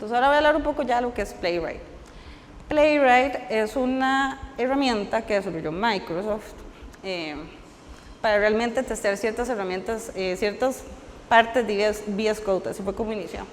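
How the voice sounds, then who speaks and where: Speaking at a moderate pace with fairly high pitch and ordinary pitch variation, a woman is heard over noticeable background noise. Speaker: software engineer giving a conference talk. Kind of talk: technical talk at a meetup.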